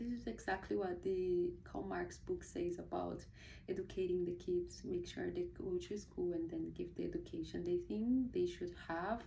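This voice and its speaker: A woman speaks with a Portuguese accent at a moderate pace. Room echo is audible around her voice. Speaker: book reviewer, video blogger. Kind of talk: casual book review monologue. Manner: hesitant, many fillers and restarts.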